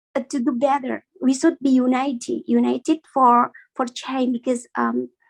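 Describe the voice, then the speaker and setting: Delivered at a moderate pace in a monotone, flat intonation, the voice has a dry, close sound with no echo. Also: woman, high pitch for a woman. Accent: Indonesian. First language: Indonesian. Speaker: community member. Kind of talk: casual chat. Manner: halting.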